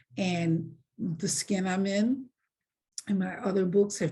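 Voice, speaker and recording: Speaking with fairly even intonation, a woman uses a fairly low pitch and a dark, mellow tone that is somewhat breathy. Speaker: author. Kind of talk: interview.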